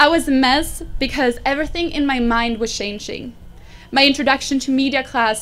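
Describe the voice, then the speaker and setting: A woman with a Swedish accent, high in pitch at a moderate pace, on a very clean recording with a silent background. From Sweden. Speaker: graduating student. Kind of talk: commencement speech. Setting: graduation ceremony with audience.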